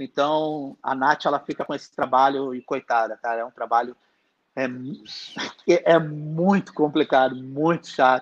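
The man's pitch is fairly high, and his intonation stays fairly even at a fairly slow pace. Long, frequent pauses break up his speech, and the sound is dry and close with no echo. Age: 30s. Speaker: concert promoter. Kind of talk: live-streamed interview, casual chat.

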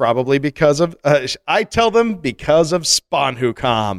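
Animated in tone, a man with a fairly high pitch makes very wide pitch swings in a dry, close sound without echo. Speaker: podcast co-host. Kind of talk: casual chat.

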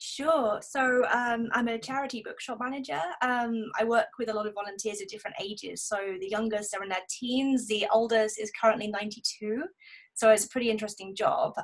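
A woman with a southern English accent speaks at a fairly high pitch. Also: ordinary pitch variation, moderate pace. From southern England. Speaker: blogger and bookshop manager. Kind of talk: casual chat.

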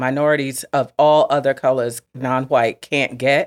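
Recorded very cleanly against a silent background, a woman speaks at a fairly slow pace with a dry, close sound and no echo. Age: 40s. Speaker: podcast co-host. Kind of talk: casual chat.

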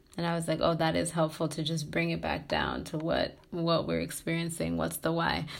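A woman speaks in a fairly low voice with vocal fry. Her intonation is monotone and flat. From Tanzania. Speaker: graduate student in social work. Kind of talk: interview.

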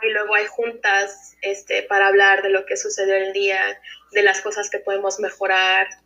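At a moderate pace, a woman with a medium pitch speaks in a bright, sharp tone. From United States (raised from age 1.5 to 17), Mexican-born. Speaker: former film student, illustrator. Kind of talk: casual interview.

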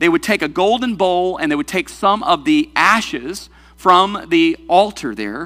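A man speaks fairly slowly in a raised, projected, high voice. His tone is bright and sharp, with very wide pitch swings. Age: 40s. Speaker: pastor. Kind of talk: sermon.

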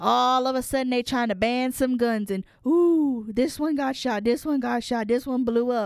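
Animated in tone, a woman with a Louisiana accent speaks at a high pitch with ordinary pitch variation on a very clean recording with a silent background. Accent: US Southern (Louisiana). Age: 20s. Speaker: podcast guest, host's sister. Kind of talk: casual chat.

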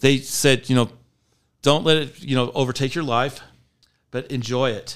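A man with an unremarkable speaking voice, medium pitch and fairly even intonation, on a very clean recording with a silent background. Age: 50s. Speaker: company employee, trainer. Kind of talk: casual interview chat.

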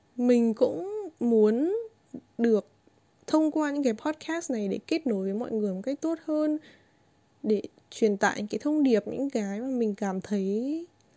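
Speaking at a fairly slow pace, a woman with a high pitch and a dark, mellow tone uses lively intonation in a dry, close sound with no echo. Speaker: podcast host and YouTuber. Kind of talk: casual monologue.

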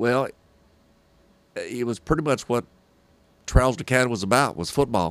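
Here a man speaks with a Southern US accent. He keeps a moderate pace but takes long, frequent pauses. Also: medium pitch for a man, ordinary pitch variation. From Hartsville, Tennessee. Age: 60s. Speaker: sports broadcaster.

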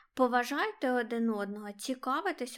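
Very clean recording with a silent background, featuring a woman's high pitch and ordinary pitch variation. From Ukraine, Kharkiv. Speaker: podcast co-host. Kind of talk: casual chat.

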